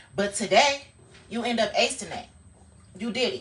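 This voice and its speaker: Noticeable background noise sits behind a woman with a fairly high pitch. She talks at a moderate pace in an animated tone. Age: 30s. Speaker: social media livestreamer. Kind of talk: casual motivational livestream monologue. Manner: occasionally fumbles words.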